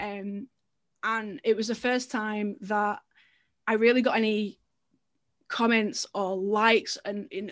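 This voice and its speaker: A woman speaks in an English accent, her pitch fairly high. Her intonation is monotone and flat, and the background is quiet. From England. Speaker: storytelling marketer and funnel builder. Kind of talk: casual interview.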